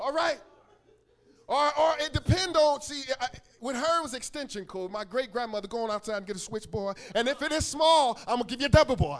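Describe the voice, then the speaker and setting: With lively intonation, a man speaks at an extremely high pitch. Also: fairly quick pace. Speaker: pastor. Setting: church. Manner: call-and-response with congregation.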